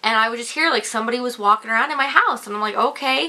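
A woman speaks in a high pitch with an animated, dramatic tone. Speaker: vlogger. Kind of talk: ghost story telling, casual personal anecdote to camera. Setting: video blog to camera. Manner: animated, chatty storyteller with casual filler 'like' and dramatic asides. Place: home room.

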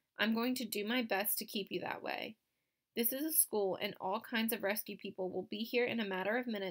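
Natural reading aloud over a quiet backdrop, its pitch varying in an ordinary way

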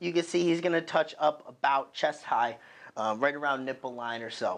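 At a moderate pace, a man speaks with pitch that varies in an ordinary way. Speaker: powerlifting coach. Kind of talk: tutorial. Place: gym.

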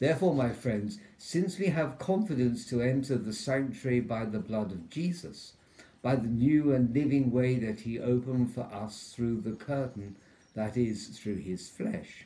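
A man speaks at a fairly slow pace. His tone is dark and mellow, and somewhat breathy. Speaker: parish priest. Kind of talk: liturgical scripture reading. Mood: solemn, measured. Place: home room. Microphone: phone near.

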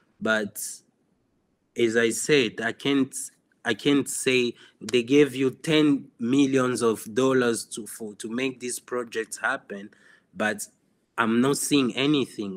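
A man with a Congolese accent at a medium pitch, very slow pace, fairly even intonation and long, frequent pauses. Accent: Congolese francophone English. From DR Congo (Goma). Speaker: photographer. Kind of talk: interview. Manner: halting.

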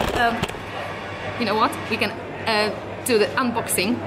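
Loud background noise surrounds this recording. A woman speaks at a fairly slow pace. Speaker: vlog co-host. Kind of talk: casual vlog chat. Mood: cheerful, slightly shy. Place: cafe. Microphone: phone near.

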